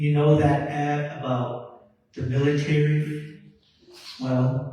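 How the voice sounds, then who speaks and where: A man with a Southwestern US accent, fairly high in pitch with fairly even intonation, audible room echo around him. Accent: Navajo-accented English. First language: Navajo. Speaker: sheep herder and community presenter. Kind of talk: conference talk.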